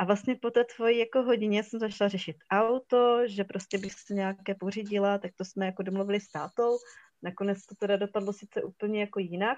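A woman with a Silesian accent talks fairly quickly at medium pitch, her intonation fairly even and her loudness swinging widely. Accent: Silesian Czech, short vowels. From Czech Silesia, Hradec nad Moravicí. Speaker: photographer. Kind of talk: casual interview.

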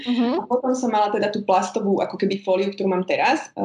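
A woman talks very fast at a medium pitch, her pitch varying in an ordinary way amid noticeable background noise. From eastern Slovakia, Spišská Nová Ves. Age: 30s. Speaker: home organizing and upcycling influencer. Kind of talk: casual interview.

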